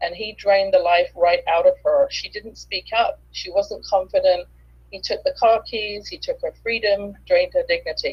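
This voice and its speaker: With an English accent, a woman talks at a moderate pace, her loudness swinging widely. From England. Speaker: author and business coach. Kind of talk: interview. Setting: live video stream.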